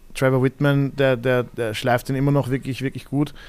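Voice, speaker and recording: A man talks very rapidly, captured in a very clean recording against a silent background. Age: 30s. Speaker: MMA fighter and jiu-jitsu coach. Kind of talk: casual chat.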